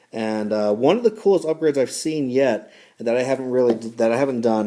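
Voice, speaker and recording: The voice moves at a very fast pace in a dark, mellow tone with ordinary pitch variation. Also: man. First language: not English. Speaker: knife reviewer. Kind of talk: product review. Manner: halting, many fillers; casual.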